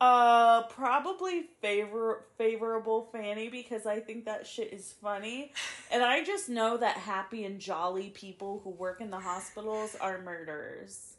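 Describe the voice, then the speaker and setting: A woman's unremarkable speaking voice at a fairly high pitch with ordinary pitch variation, a fairly slow pace, hardly any pauses and big swings in loudness. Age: 20s. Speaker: podcast co-host. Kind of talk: casual chat. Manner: giggly, laughing often.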